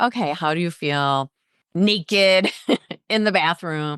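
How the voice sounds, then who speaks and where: An unremarkable speaking voice belongs to a woman with fairly low pitch and ordinary pitch variation. She keeps a moderate pace over a quiet background. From US Midwest, Chicago suburbs. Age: 50s. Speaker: weight loss doctor and podcast host. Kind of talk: interview about personal life.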